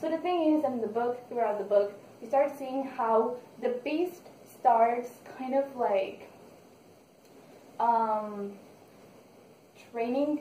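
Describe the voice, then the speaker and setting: Very slow and broken by long, frequent pauses, a woman with a Spanish accent speaks at a high pitch with ordinary variation and a dark, mellow tone. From Mexico. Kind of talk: casual book review to camera. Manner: casual, hesitant.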